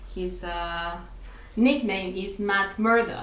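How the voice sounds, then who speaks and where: Audible room echo surrounds a woman with a non-native accent who speaks at a very slow pace with ordinary pitch variation. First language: not English. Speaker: fanfiction writer and graphic artist. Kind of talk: video review monologue. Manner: halting, many fillers.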